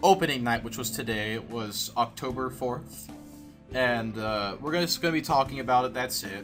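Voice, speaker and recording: A man with a medium-pitched voice speaks at a moderate pace with music playing in the background. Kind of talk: unscripted movie commentary. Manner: hesitant, with stutters and pauses.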